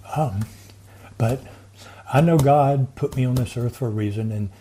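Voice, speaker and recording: A man speaks in a Southern US accent. Noticeable background noise runs underneath. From US South (Montgomery, Alabama). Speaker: inventor and veteran. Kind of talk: interview.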